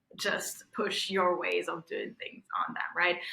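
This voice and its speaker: A woman speaks with a slight Russian accent. Her pace is moderate. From Belarus. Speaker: tech innovation strategist. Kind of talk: interview conversation.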